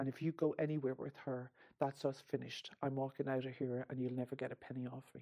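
Monotone, flat intonation in an Irish accent, with a dark, mellow tone and a fairly quick pace. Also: woman. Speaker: survivor of financial abuse. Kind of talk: testimony.

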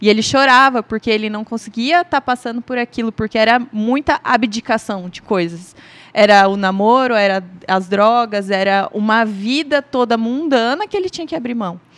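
A woman with a normal speaking voice, fairly high pitch, ordinary pitch variation and a moderate pace. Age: 30s. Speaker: industrial manager. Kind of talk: testimony.

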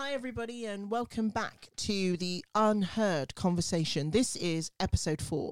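Here a woman speaks with a British accent. Her intonation is lively and her pace moderate. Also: very clean recording, silent background. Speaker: podcast host. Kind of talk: casual chat.

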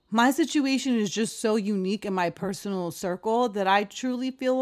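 A woman speaks at a moderate pace in an animated tone. Her intonation is lively on a very clean recording with a silent background. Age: 30s. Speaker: podcast host. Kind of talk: casual monologue.

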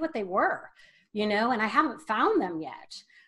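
An American accent is heard here. The speaker is a woman. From US Midwest, northeast Ohio. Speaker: wellness coach. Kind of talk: interview. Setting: video call.

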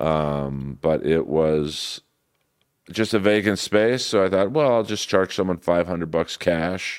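A man with an American accent speaks at a very deep, low pitch. His pace is fairly slow and his intonation lively. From Los Angeles, US West Coast. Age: 50s. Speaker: comedian. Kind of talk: casual chat.

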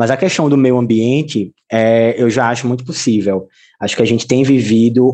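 Fairly even in intonation, a man's medium-pitched voice carries a dark, mellow tone. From Pernambuco, Brazil (Camaragibe/Recife). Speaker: podcast host, teacher. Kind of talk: casual interview.

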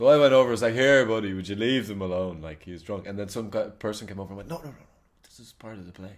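Speaking at a very fast pace, a man with a fairly low pitch shows ordinary pitch variation and big swings in loudness. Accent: Dublin. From Ireland, Dublin. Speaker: actor. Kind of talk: casual chat. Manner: animated.

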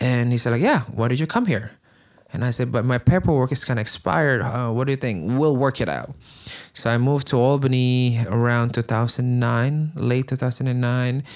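A man with an Indonesian accent at a medium pitch and moderate pace, fairly even intonation, in a very clean recording with a silent background. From Indonesia (Bandung, West Java). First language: Sundanese / Indonesian. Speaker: community organizer. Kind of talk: casual chat.

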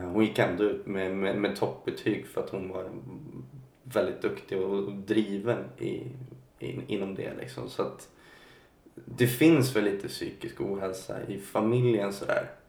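Audible room echo carries a man's voice. He speaks at a fairly slow pace. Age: 20s. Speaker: singer. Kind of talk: interview about mental health. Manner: halting.

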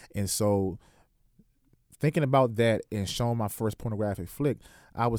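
A man with an American accent and a dark, mellow tone at a fairly quick pace, on a very clean recording with a silent background. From Washington DC area. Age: 20s. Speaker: author and preacher. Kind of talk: radio interview, testimony. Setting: radio studio.

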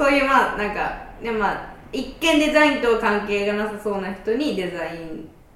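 A woman is heard in a room with audible echo, with noticeable noise behind her. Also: fairly high pitch for a woman, lively intonation, moderate pace. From Kansai. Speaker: podcast host. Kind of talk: casual chat.

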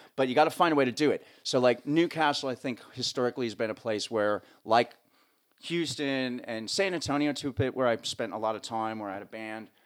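Speaking at a fairly quick pace with a New Jersey accent, a man with medium pitch and ordinary pitch variation is heard on a very clean recording with a silent background. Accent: New Jersey American. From US, northern New Jersey. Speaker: sound engineer and drummer. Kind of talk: casual interview chat. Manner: talkative.

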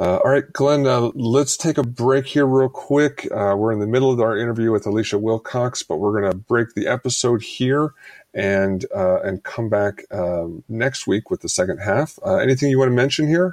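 A plain, everyday voice from a man at medium pitch, moving at a moderate pace with ordinary pitch variation. His loudness stays very even, and the sound is dry and close with no echo. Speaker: podcast co-host. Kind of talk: casual podcast chat.

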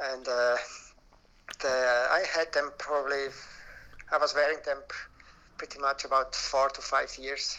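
A speaker with a Swiss German accent talks in a monotone, flat intonation. Noticeable background noise is present. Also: man, fairly high pitch for a man, fairly slow pace. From Switzerland, Alpine village in Graubuenden. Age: 50s. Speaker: denim collector and museum founder. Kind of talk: interview.

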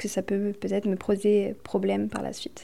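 A woman speaks at a moderate pace. Her pitch is medium. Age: 20s. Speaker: aspiring home hairdresser. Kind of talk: interview testimony.

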